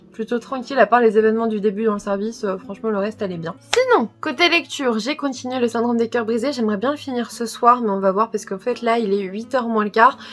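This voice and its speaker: Against noticeable background noise, a woman rattles along at a very fast pace with hardly any pauses, her pitch fairly high. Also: ordinary pitch variation. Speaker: book vlogger and healthcare worker. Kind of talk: casual vlog talk to camera.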